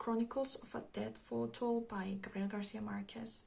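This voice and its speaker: Noticeable background noise surrounds a woman speaking with a Spanish accent. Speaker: book vlogger. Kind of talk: casual book review monologue. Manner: halting, many fillers.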